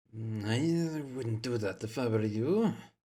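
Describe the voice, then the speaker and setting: A soft-spoken man puts on a rumbling character voice at medium pitch and a fairly slow pace. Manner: calm, warning.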